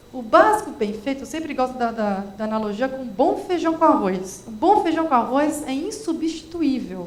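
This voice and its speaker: In a São Paulo accent, a high-pitched woman makes very wide pitch swings and big swings in loudness, with audible room echo and noticeable background noise. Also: moderate pace, hardly any pauses. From Brazil, São Paulo. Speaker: education specialist. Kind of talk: panel discussion.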